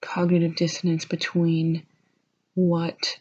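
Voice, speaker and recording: A soft-spoken, somewhat breathy woman with a fairly low pitch and a very slow pace. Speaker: university student working on an art history paper. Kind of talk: casual talk to camera, rambling school notes. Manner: soft-spoken, lo-fi.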